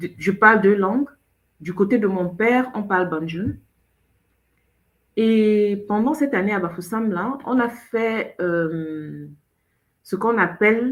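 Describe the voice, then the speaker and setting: A woman's medium-pitched voice at a very slow pace, with long, frequent pauses and ordinary pitch variation. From Cameroon. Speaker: show host. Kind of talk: casual chat.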